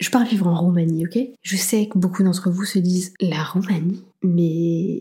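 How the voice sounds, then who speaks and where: Her tone is animated, and her pitch sits in the medium range. The woman keeps a moderate pace. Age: 30s. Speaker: podcast host. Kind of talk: solo advice monologue.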